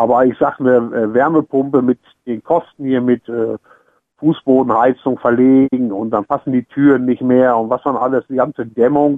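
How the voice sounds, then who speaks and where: A man's medium-pitched voice stays monotone and flat in intonation, moving at a moderate pace. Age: old. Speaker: retired caller. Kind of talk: call-in radio discussion. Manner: halting.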